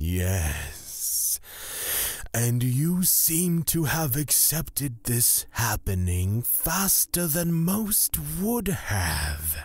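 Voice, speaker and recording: Putting on a character voice, a man speaks at a medium pitch and a very slow pace. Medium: audio drama. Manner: measured, formal.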